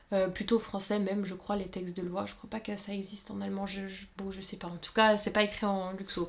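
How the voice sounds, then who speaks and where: A woman speaks quickly with hardly any pauses, her medium-pitched voice somewhat breathy and flat in intonation while her loudness swings widely. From Luxembourg. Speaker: sewing YouTuber. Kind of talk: casual Q&A chat. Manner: many hesitations (euh).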